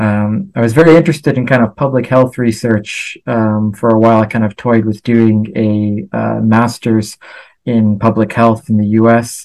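Against a quiet background, a man with an American accent talks at a moderate pace in fairly even intonation. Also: medium pitch for a man. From US, Los Angeles. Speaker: researcher. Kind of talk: interview. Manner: hesitant, many fillers.

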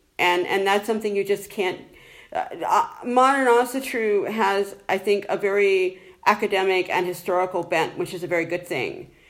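A woman with an American accent, a plain, everyday voice, medium pitch and ordinary pitch variation. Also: moderate pace. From United States.

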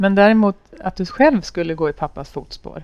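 A woman's medium-pitched voice moves at a fairly quick pace. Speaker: podcast host. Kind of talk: interview. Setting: café with small audience.

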